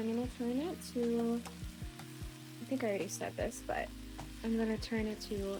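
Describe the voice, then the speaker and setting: With music in the background, the speaker goes at a moderate pace with long, frequent pauses. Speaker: ASMR creator, home cook. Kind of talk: ASMR-style cooking tutorial, soft-spoken explanation. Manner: whispered, soft-spoken.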